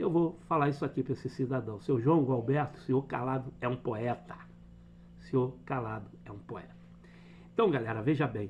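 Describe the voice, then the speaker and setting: This man's voice sits at medium pitch and carries vocal fry. He talks at a moderate pace with ordinary pitch variation. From Brazil. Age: 60s. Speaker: football fan commentator. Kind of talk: opinion rant. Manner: animated.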